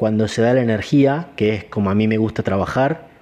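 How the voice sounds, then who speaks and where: A man with a medium-pitched voice and ordinary pitch variation speaks at a moderate pace while noticeable background noise runs underneath. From Argentina, Entre Ríos. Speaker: martial arts teacher and podcast host. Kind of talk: solo podcast talk. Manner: hesitant fillers.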